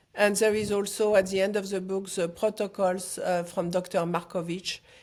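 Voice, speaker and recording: A woman's medium-pitched voice with monotone, flat intonation at a moderate pace, in a very clean recording with a silent background. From France, Paris. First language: French. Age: 60s. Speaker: foundation founder and author. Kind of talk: interview. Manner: halting.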